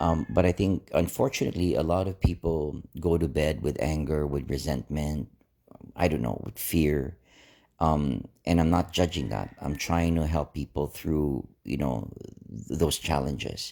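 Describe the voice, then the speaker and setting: A man's very deep, low voice with a dark, mellow tone and vocal fry, relaxed and fairly slow, with ordinary pitch variation, on a very clean recording with a silent background. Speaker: inspirational vlogger. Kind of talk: casual motivational talk. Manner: relaxed, low-key.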